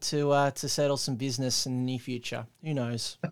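Someone with an Australian accent speaks at a moderate pace. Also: man. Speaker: podcast host. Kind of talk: casual chat. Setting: remote call.

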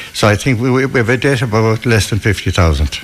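A man speaks in a west of Ireland accent at a fairly quick pace. His pitch varies in an ordinary way. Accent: west of Ireland Irish. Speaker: club chairman. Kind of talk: casual interview. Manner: jokey.

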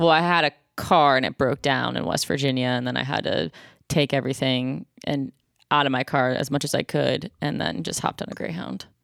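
Speaking at a fairly quick pace, a woman uses a very deep, low pitch with vocal fry and lively intonation, captured with a dry, close sound and no echo. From Buffalo, New York. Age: 30s. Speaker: comedian. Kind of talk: casual chat. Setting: remote call.

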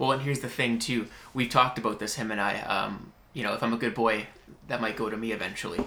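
A man with a Western Canadian accent talks very fast at a medium pitch. His tone is bright and sharp, and his intonation is fairly even. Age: 20s. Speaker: podcast host. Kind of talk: casual interview chat. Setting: at guest's business premises.

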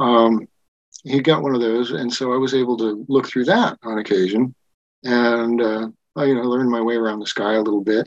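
A man talks in a plain, everyday voice at a medium pitch and fairly quick pace, with fairly even intonation and a dry, close sound with no echo. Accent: American. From Wyoming, US. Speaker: science fiction writer and telescope maker. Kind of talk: casual interview chat.

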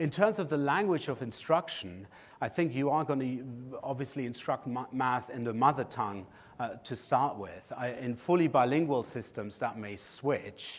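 Recorded very cleanly over a silent background, a man with a German accent speaks at a moderate pace with a medium pitch and lively intonation. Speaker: education researcher. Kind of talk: conference lecture.

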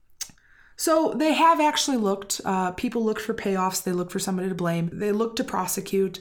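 Lively in intonation, a woman speaks at a very fast pace and a medium pitch. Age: 30s. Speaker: podcast co-host. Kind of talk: casual chat.

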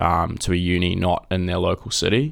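With a New Zealand accent, a man speaks at a moderate pace in a very deep, low voice. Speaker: junior lawyer. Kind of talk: casual interview.

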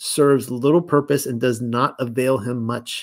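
A man has a plain, everyday voice with fairly even intonation and a moderate pace. The recording is very clean, with a silent background. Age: 40s. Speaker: livestream host reading and discussing religious texts. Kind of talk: reading aloud with commentary. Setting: YouTube live stream.

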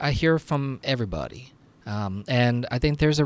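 A man with a normal speaking voice talks at medium pitch with lively intonation, recorded very cleanly against a silent background. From New Jersey. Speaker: congressman. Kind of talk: interview.

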